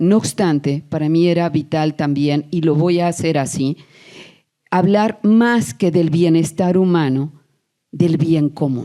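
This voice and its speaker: A woman's dark, mellow tone at a fairly low pitch, with ordinary pitch variation, a very slow pace, and very even loudness. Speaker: academic lecturer. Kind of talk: conference lecture.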